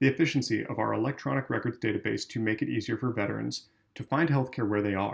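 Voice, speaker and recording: A man talks very fast with vocal fry and ordinary pitch variation. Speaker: volunteer member of a veterans' political group reading policy. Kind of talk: policy reading, straight read without commentary. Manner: plain, measured reading.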